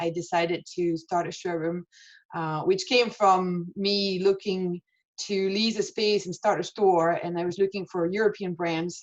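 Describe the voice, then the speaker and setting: Over a quiet background, a woman with a fairly low pitch talks at a moderate pace with fairly even intonation. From France. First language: French. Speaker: fashion showroom owner. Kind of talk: webinar interview. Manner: hesitant, many fillers.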